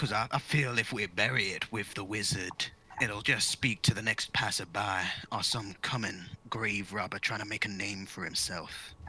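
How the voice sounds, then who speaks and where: A man puts on a character voice, pitched fairly low and delivered at a moderate pace. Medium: actual play.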